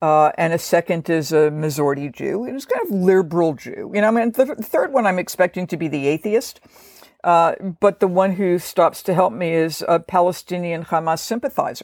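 A woman with a fairly low pitch and lively intonation speaks at a fairly quick pace in an ordinary speaking voice. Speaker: professor of biblical studies. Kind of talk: scholarly explanation in a podcast interview.

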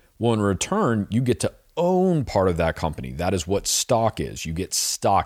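On a very clean recording with a silent background, a man speaks at a moderate pace in a dry, close sound with no echo. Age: 30s. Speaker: personal finance podcast host. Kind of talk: solo monologue podcast. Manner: casual with frequent fillers.

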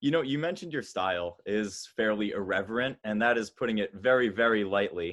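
A man talks at a fairly quick pace, his pitch medium with ordinary variation. He has a plain, everyday voice. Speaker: podcast host. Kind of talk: casual interview chat.

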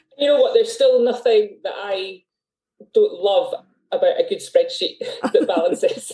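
Taking long, frequent pauses, a woman with a Scottish accent speaks at a moderate pace. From Scotland. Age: 40s. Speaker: artist, former accountant. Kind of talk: casual interview chat. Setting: video call.

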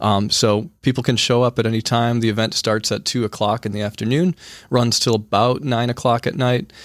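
An unremarkable speaking voice with an American accent and fairly even intonation. The recording is very clean, with a silent background. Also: man, medium pitch for a man. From rural eastern Wisconsin, Sheboygan area. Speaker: high school teacher. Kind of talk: interview. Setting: studio.

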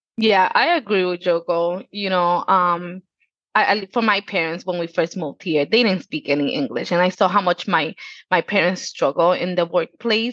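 An ordinary speaking voice from a woman, medium in pitch with ordinary pitch variation, at a moderate pace, dry and close with no echo against a quiet background. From Dominican Republic and Puerto Rico, then Connecticut from age 11. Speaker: customer care manager. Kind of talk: casual interview.

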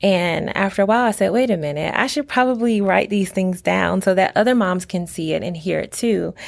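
A woman speaks in an ordinary speaking voice. Her pitch is medium with ordinary pitch variation. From Virginia, Norfolk. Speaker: school instructional assistant and parent. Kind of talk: interview about faith and testimony.

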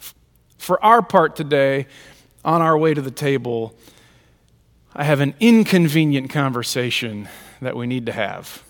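A man's medium-pitched voice with lively intonation at a moderate pace. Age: 40s. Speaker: pastor. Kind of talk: sermon.

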